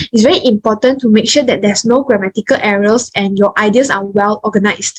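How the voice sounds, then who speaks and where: A woman's fairly high-pitched voice comes out somewhat breathy, with fairly even intonation. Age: young. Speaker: nursing student. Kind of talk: online talk presentation.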